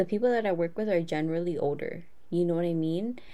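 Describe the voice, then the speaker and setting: The voice has a dark, mellow tone and ordinary pitch variation. Audible room echo fills the recording. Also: woman. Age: 20s. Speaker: podcast co-host. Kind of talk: casual chat. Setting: video call.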